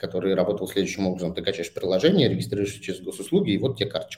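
A man with a fairly low pitch. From Saint Petersburg, Russia. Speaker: startup founder. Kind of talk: interview. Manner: halting.

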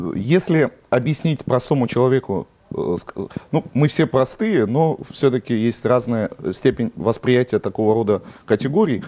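A man with a plain, everyday voice speaks at a fairly slow pace with lively intonation and very even loudness, in a dry, close sound with no echo. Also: medium pitch for a man. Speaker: interviewer. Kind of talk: friendly interview.

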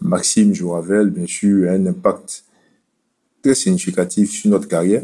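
A man talks fairly slowly, stopping often for long pauses. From Côte d'Ivoire. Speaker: cardiologist. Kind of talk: interview.

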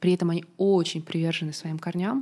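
This woman has a dark, mellow tone, a fairly low pitch and ordinary pitch variation. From Russia. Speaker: diplomat. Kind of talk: interview.

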